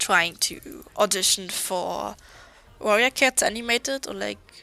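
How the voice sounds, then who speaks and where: Recorded dry and close with no echo, a woman speaks with a German accent. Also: fairly slow pace. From Germany. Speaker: artist streamer. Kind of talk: casual chat.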